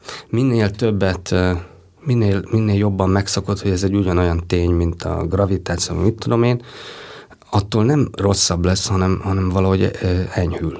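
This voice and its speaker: Amid noticeable background noise, a man speaks at a moderate pace with a fairly low pitch. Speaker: animation film director. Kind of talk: interview. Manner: halting.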